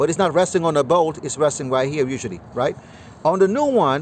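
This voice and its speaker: The pace of this voice is fairly quick, with ordinary pitch variation. Noticeable background noise runs underneath. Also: man. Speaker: mechanic. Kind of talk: tutorial. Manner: fast; casual with many fillers.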